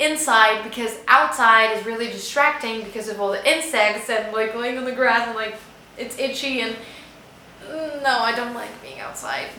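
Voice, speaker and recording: A woman's fairly high voice, with ordinary pitch variation, comes through amid audible room echo and noticeable background noise. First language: Spanish. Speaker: booktuber. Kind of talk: casual vlog chat.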